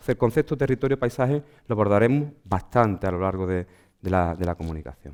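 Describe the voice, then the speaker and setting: A very fast man in an Andalusian accent, fairly low in pitch, with lively intonation. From Andalusia, Huelva. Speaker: archaeologist. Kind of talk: lecture.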